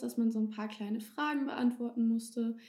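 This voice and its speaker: The woman's voice has a dark, mellow tone at a fairly high pitch. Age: 20s. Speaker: police student and beauty pageant contestant. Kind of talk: casual interview.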